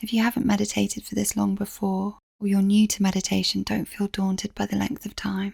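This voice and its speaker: With an English accent, a woman speaks at a fairly quick pace in a somewhat breathy, medium-pitched voice with monotone, flat intonation and a dry, close sound with no echo. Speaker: meditation guide. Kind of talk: meditation instructions.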